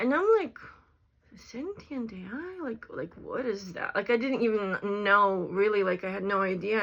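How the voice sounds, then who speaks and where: Speaking in a non-native accent, a woman has a fairly high pitch. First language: not English. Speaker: content creator talking about AI. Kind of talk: casual vlog monologue. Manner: hesitant, filler-heavy.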